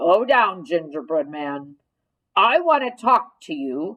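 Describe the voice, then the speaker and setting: Using a put-on character voice of medium pitch, a woman speaks at a fairly slow pace with big swings in loudness and very wide pitch swings. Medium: read story.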